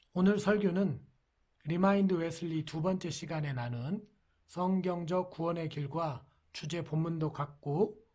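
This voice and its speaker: Recorded very cleanly against a silent background, a man speaks very slowly in a fairly high, dark, mellow voice with ordinary pitch variation. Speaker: pastor. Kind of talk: sermon. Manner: soft-spoken; formal.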